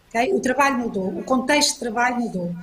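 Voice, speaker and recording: Noticeable background noise runs under this clip. A woman speaks at a very fast pace with a high pitch. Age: 60s. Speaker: panel speaker, business executive. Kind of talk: panel talk. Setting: online event. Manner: hesitant, repeats words.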